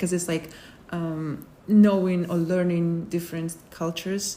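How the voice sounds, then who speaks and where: A woman's fairly low-pitched voice with monotone, flat intonation. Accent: Kazakh. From Kazakhstan. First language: Kazakh. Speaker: international graduate student. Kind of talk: interview. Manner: halting, with many fillers.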